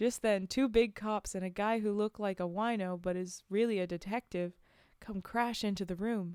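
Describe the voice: The text is read plainly. Reading aloud is all that happens.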